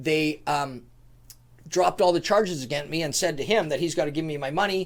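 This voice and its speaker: An ordinary speaking voice with a Canadian accent, a fairly quick pace and ordinary pitch variation. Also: man, fairly high pitch for a man. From Canada, Prince George, British Columbia. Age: 50s. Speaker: businessman and author. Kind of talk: casual interview storytelling.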